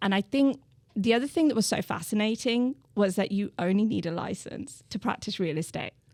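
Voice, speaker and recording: In a dry, close sound with no echo, a woman talks at a fairly quick pace. Her medium pitch carries lively intonation. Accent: British. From England, Birmingham. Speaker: real estate agent. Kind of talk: podcast interview.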